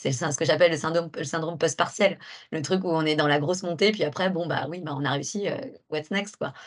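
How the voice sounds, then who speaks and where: At a fairly low pitch, a woman talks at a fairly quick pace with ordinary pitch variation. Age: 30s. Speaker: entrepreneur. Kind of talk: interview. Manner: halting.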